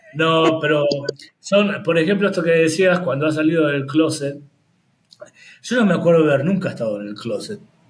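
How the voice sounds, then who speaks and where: Fairly high male voice with ordinary pitch variation, a moderate pace, long, frequent pauses and audible room echo. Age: 60s. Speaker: HIV peer educator and activist. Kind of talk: interview.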